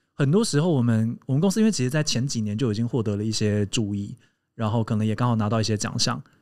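Against a quiet background, a man talks at a very fast pace with a medium pitch and ordinary pitch variation. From Taiwan, Hakka family. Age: 30s. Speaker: podcast co-host and company founder; podcast co-host. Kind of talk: casual chat. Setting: live podcast recording before a small audience. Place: studio. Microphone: studio mic.

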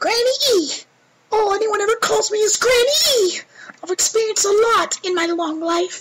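Putting on a character voice, a man speaks at an extremely high pitch and a moderate pace. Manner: teasing, knowing.

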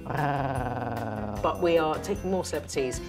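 Clear music plays in the background. A woman is speaking over it. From England. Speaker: TV presenter. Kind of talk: interview answer. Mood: playful, self-mocking humour.

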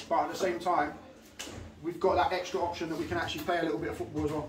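There is noticeable background noise. A man speaks with a high pitch. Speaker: football manager. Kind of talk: half-time team talk. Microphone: camera far.

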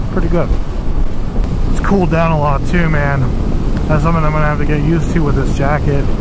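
A woman's voice in a dry recording with no echo, over loud background noise. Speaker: motorcycle vlogger. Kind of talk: casual vlog chat. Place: motorbike. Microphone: helmet.

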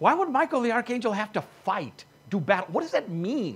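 Speaking at a fairly quick pace, a man with a high pitch and a husky, rough edge makes big pitch swings.

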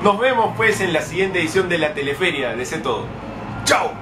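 Over clear background noise, a man with a high pitch speaks at a moderate pace with lively intonation.

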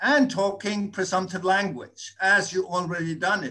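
A man speaks in a raised, projected voice. His pitch is high and his tone bright and sharp. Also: quiet background. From Denmark. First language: Danish. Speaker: audience participant. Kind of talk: panel discussion. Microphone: video call.

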